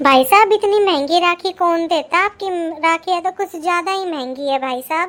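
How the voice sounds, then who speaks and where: A woman does a put-on character voice, squeaky and pitched extremely high. She talks at a moderate pace. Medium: cartoon. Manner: loud, blunt.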